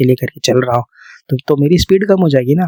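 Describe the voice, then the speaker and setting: A man with an ordinary speaking voice and fairly high pitch is heard in a dry, close sound with no echo. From India. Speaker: ASMR creator. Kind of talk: ASMR girlfriend-style sleep talk. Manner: soft, calming, conversational.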